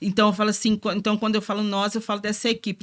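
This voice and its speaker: A woman's fairly high voice on a very clean recording with a silent background. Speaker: religious sister and community formator. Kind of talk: testimony in podcast interview. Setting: studio. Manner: informal, colloquial.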